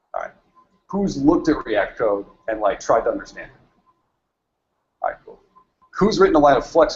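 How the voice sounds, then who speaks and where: Talking at a fairly quick pace, a man shows big swings in loudness. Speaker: meetup speaker, software developer; speaker. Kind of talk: tech talk presentation. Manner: fast; quiet. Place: meeting room.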